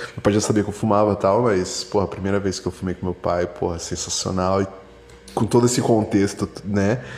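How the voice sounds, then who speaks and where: Against noticeable background noise, a man speaks fairly quickly at a fairly low pitch, with fairly even intonation. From São Paulo area, Brazil. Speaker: listener sending voice message. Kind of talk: voice message story.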